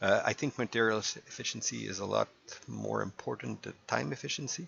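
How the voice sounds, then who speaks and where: Speaking at a fairly quick pace, a man has a slight French Canadian accent. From Quebec. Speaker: gaming YouTuber. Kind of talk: casual gameplay commentary. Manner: halting, many fillers.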